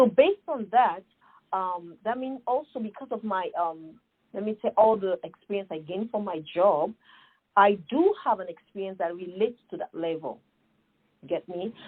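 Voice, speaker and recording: A moderate pace with ordinary pitch variation and big swings in loudness, in an African accent. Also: woman, medium pitch for a woman. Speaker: nonprofit founder. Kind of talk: podcast interview. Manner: animated.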